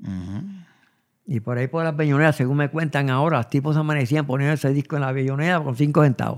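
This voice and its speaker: A man rattles along at a very fast pace, his fairly high pitch showing ordinary pitch variation. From Puerto Rico, Añasco. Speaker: singer-songwriter. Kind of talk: interview. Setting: at his home. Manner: halting.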